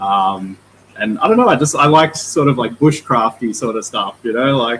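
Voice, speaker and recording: Speaking with an Australian accent, a man uses a bright, sharp tone at a moderate pace with ordinary pitch variation. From Australia, northern NSW (Mullumbimby, Byron Bay). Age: 30s. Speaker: aquarium store owner. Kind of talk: livestream interview, casual chat.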